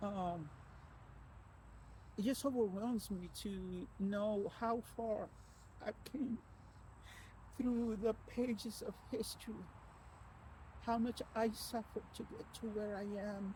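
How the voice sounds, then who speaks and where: A woman talks at a very slow pace with long, frequent pauses. Her fairly high voice is somewhat breathy, with a dark, mellow tone. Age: 60s. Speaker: author and abuse survivor. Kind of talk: personal vlog. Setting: outdoors on a walking trail. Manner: halting, many repetitions.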